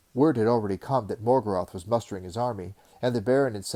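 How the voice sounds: The pitch shows ordinary variation. It comes from a natural reading voice.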